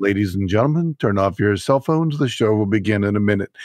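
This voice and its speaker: A man uses a booming, put-on character voice with a fairly low pitch. He talks at a very fast pace. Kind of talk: formal announcement.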